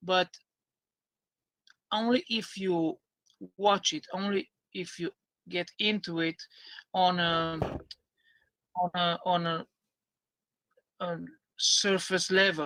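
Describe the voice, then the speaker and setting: A man with a non-native accent, high pitch and a bright, sharp tone speaks at a very slow pace with long, frequent pauses. His intonation is fairly even, and the sound is dry and close with no echo. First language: not English. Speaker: YouTuber, concave earth proponent. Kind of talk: debate. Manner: halting.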